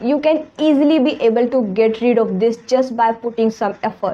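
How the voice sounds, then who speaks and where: A woman's high pitch with an Indian accent and lively intonation, against noticeable background noise. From India, Hindi-speaking region. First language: Hindi. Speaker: English teacher YouTuber. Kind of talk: motivational talk to camera.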